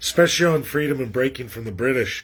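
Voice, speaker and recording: A man talks at a medium pitch. Noticeable background noise runs under his voice. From western Canada (Alberta). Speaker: political commentator livestreamer. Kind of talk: casual livestream monologue. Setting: livestream from rural area, shaky internet. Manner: rambling, repeats words, halting.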